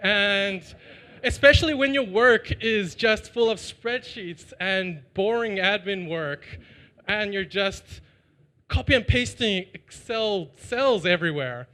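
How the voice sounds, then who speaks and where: A man with a Chinese accent, high-pitched, raised and projected, with a bright, sharp tone, lively intonation and a fairly slow pace. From China. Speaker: startup founder. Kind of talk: pitch and Q&A.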